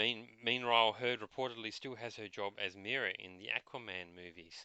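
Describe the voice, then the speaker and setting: With a bright, sharp tone, a man speaks at a fairly quick pace, his loudness rising and falling widely. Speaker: podcast host. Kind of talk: casual chat.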